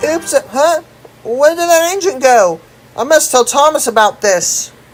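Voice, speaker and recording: This put-on character voice sits at a high pitch and moves at a moderate pace. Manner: frightened.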